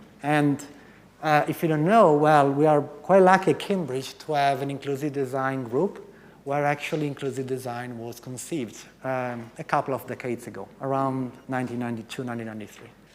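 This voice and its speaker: A fairly high-pitched man talks at a fairly quick pace with an American accent. His pitch variation is ordinary, but his loudness swings widely. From Italy. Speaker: professor. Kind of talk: conference talk. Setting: stage with audience. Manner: interactive, engaging with audience.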